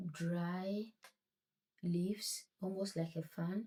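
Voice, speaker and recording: A woman speaks very slowly at a medium pitch with a dark, mellow tone. Her voice is somewhat breathy and her intonation monotone and flat. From Ghana. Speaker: craft tutorial creator. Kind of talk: tutorial. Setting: home at night.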